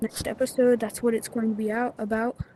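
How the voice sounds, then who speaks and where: A woman's monotone, flat intonation over noticeable background noise. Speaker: gaming tutorial youtuber. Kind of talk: tutorial. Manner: halting, many fillers.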